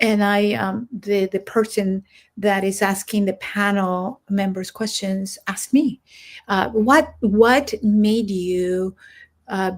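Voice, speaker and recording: A woman speaks very slowly at a medium pitch, her voice somewhat breathy. Her intonation is fairly even, and the recording is very clean with a silent background. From Central America. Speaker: military veteran and coach. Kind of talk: casual chat.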